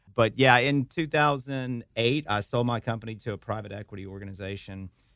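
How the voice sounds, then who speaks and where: A man speaks with ordinary pitch variation. The recording is very clean and the background silent. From Louisiana, Hammond. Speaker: guest host, tech company CEO. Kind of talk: casual radio talk show chat.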